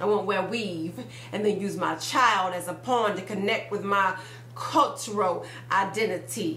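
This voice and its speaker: Over noticeable background noise, a woman with a medium-pitched voice speaks at a fairly slow pace with lively intonation. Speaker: spoken word poet. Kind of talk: spoken word poetry performance. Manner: blunt, forceful.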